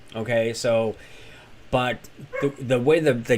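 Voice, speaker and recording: A man is speaking. His pitch variation is ordinary. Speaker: crypto YouTuber. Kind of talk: live stream chat. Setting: live stream. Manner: fast.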